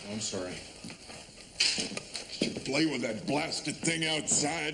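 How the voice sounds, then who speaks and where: A raspy, put-on character voice moves at a moderate pace over loud background noise. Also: man, fairly high pitch for a man. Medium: short film. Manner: dry, laconic, folksy.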